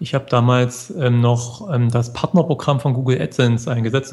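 A man with a medium-pitched, somewhat breathy voice speaks at a fairly quick pace with fairly even intonation. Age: 40s. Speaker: blogger. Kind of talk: interview.

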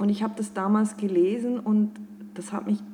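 Fairly even intonation is heard over noticeable background noise. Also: woman. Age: 40s. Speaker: life and career coach. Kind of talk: podcast interview.

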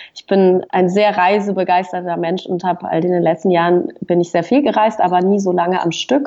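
In a plain, everyday voice, a woman speaks at a moderate pace and medium pitch with fairly even intonation. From Western Switzerland, Fribourg. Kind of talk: casual interview.

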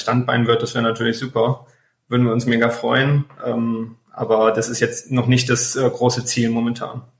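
At a moderate pace, a man speaks with a medium pitch, monotone and flat intonation, and a somewhat breathy sound. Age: 20s. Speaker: travel blogger. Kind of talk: interview.

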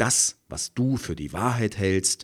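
At a very slow pace, a man with a medium pitch speaks in a dry, close sound with no echo on a very clean recording with a silent background. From East Germany. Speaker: podcast host, conflict coach and audiobook narrator. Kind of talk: solo podcast monologue, scripted.

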